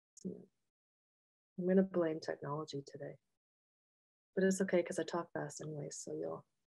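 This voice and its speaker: A woman with a fairly low pitch, a dark, mellow tone and vocal fry speaks at a fairly quick pace with fairly even intonation and long, frequent pauses. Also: dry, close sound with no echo. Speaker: engineering professor and researcher. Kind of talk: academic webinar lecture. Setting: video call webinar with shared slides. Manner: fast.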